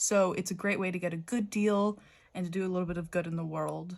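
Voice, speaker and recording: A woman speaks at a moderate pace in an ordinary speaking voice. The recording is very clean, with a silent background. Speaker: stationery YouTuber. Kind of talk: casual show-and-tell video.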